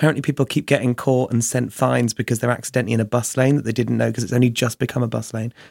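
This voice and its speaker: With a southern English accent, a man talks at a very fast pace with hardly any pauses, medium pitch, vocal fry and a monotone, flat intonation in a dry, close sound with no echo. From southern England, Chichester. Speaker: drag performer and DJ. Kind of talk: casual chat.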